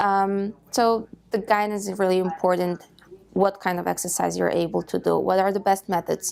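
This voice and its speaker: A woman speaks at a moderate pace with a Polish accent. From Poland. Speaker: patient care manager. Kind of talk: interview answer. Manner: hesitant, with filler sounds.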